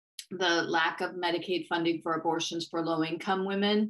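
A woman is talking. Her pace is moderate against a quiet background. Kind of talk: interview answer. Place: home room. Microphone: webcam.

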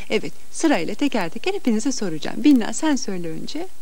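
A woman is speaking. She keeps a moderate pace. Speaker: children's TV host. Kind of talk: talk to children on a TV show. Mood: warm, gently teaching. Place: studio. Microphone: podium.

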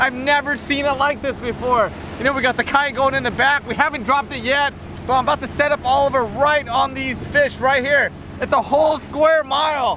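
Pausing little, a man with an extremely high pitch talks at a moderate pace with fairly even intonation over clear background noise.

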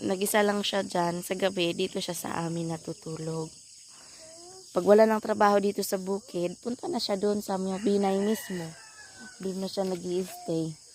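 Against noticeable background noise, a woman with medium pitch speaks at a moderate pace in a monotone, flat intonation. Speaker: vlogger. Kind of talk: casual vlog narration. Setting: outdoors, family farm.

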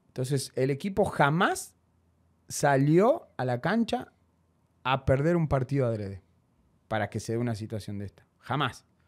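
At a fairly slow pace with long, frequent pauses, the speaker uses lively intonation against a quiet background. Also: man, medium pitch for a man. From Argentina. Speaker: former footballer; guest. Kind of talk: interview. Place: studio. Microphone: studio mic.

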